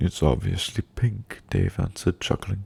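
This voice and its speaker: A man's dark, mellow tone, somewhat breathy. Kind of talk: read story. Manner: soft-spoken.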